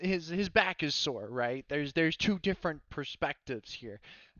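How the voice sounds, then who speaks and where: Moderate-paced man with an American accent, fairly high pitch, ordinary pitch variation. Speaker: podcast host. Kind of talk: casual chat. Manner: soft-spoken; halting.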